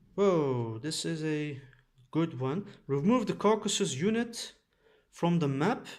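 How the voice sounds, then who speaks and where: A man with a fairly high voice talks fairly slowly and with lively intonation, leaving long, frequent pauses. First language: Dutch and Turkish. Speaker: board game youtuber. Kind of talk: gameplay commentary. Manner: halting, many filler sounds.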